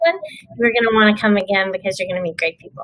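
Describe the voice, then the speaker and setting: In a Texan accent, a woman speaks at a fairly high pitch. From Texas. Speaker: dermatologist and business owner. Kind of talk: panel discussion.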